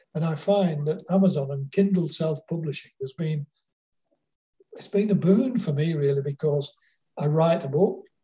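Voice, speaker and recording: Speaking in a Lancashire accent, a man has a dark, mellow tone and a fairly high pitch. His pace is moderate and his pitch varies normally, with long, frequent pauses. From northern England, Wigan. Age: 70s. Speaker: author. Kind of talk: interview. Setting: phone or video call.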